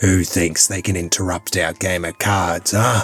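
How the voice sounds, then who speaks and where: A man puts on a character voice that is gruff, raspy and very deep and low in pitch, at a moderate pace, with faint music in the background. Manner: bellowing, menacing.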